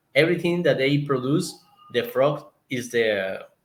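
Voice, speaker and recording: A man with a Colombian accent, medium-pitched, with ordinary pitch variation. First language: Spanish. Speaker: zoo conservationist. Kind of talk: interview. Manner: halting, searching for words.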